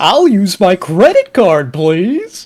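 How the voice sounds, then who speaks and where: A put-on character voice at a middle pitch. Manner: goofy, sneaky.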